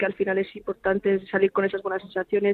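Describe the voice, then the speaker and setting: Talking at a fairly quick pace, a woman uses a medium pitch. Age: 20s. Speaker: professional footballer. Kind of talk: phone interview.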